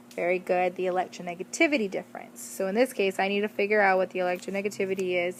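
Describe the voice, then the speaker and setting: A woman at medium pitch, talking at a very fast pace. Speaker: teacher. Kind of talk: lecture. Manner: animated.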